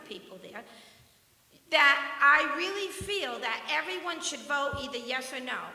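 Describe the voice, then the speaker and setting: In a raised, projected voice with very wide pitch swings, the speaker moves at a moderate pace over noticeable background noise and audible room echo. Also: woman. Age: 60s. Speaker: retired resident speaking at public comment. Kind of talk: public comment at town meeting. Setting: town planning commission meeting.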